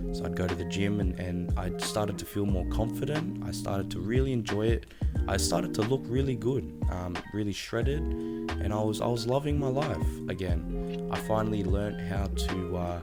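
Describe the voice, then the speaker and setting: With music in the background, a man with a very deep, low pitch talks at a moderate pace, his pitch swinging very widely. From Australia. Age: 20s. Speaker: fitness content creator and coach. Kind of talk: casual talk to camera, podcast monologue. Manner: conversational, enthusiastic, fillers.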